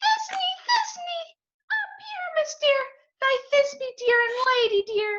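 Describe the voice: A woman's put-on character voice, extremely high in pitch, at a very slow pace with long, frequent pauses. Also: ordinary pitch variation.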